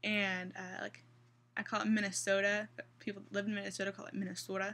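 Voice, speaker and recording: Speaking very fast with a slight Midwestern accent, a woman uses a medium pitch, a bright, sharp tone and ordinary pitch variation. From US Midwest, central Kansas. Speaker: vlogger. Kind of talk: casual vlog. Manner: hesitant.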